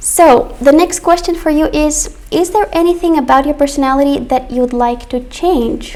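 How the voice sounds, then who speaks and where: A woman speaks at a high pitch with lively intonation, moderate pace and hardly any pauses. Noticeable background noise can be heard. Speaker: English teacher. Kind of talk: online class. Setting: live stream.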